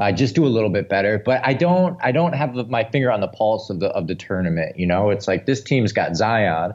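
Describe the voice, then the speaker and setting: A man with an American accent talks at a fairly quick pace. His fairly low voice is an unremarkable speaking voice. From Milwaukee, Wisconsin. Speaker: podcast host, sports commentator. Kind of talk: casual chat.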